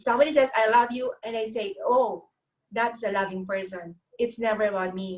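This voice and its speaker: Speaking with a non-native accent, a woman keeps a moderate pace. Her pitch is fairly high, with ordinary variation. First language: not English. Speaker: carnivore diet youtuber. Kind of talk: casual interview chat. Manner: halting, translating thoughts while speaking.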